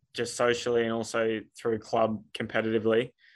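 Moderate pace and medium pitch from a man with an Australian accent. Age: 20s. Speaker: rugby league referee. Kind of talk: casual interview.

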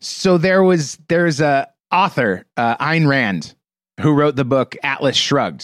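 Very slowly and with lively intonation, a man with an American accent speaks at fairly high pitch on a very clean recording with a silent background. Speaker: podcast host. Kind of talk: casual chat.

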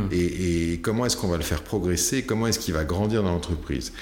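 A man's very deep, low voice amid noticeable background noise and audible room echo. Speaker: company founder and CEO, sales expert. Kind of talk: casual interview. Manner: hesitant, many fillers and repetitions.

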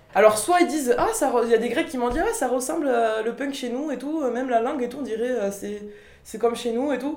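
A woman speaks in a high voice, with audible room echo around her. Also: ordinary pitch variation, moderate pace. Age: 20s. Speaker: young Basque interviewee. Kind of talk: documentary interview testimony.

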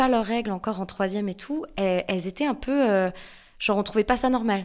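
Fairly high in pitch with ordinary pitch variation, a woman with an ordinary speaking voice talks at a fairly quick pace on a very clean recording with a silent background. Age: 20s. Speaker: content creator. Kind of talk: casual chat.

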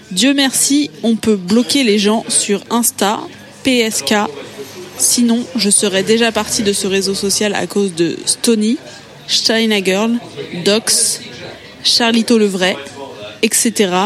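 Music plays behind a woman with a fairly high voice and ordinary pitch variation. She talks at a very slow pace, with long, frequent pauses. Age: young. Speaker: podcast columnist. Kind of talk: storytelling. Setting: restaurant.

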